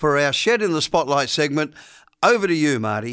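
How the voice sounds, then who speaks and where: A man speaks with an Australian accent. His voice is raised and projected. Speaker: podcast host. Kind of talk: casual interview.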